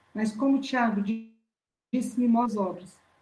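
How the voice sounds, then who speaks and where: In audible room echo, a woman speaks at a high pitch with fairly even intonation. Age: 50s. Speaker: church preacher. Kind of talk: sermon. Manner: halting.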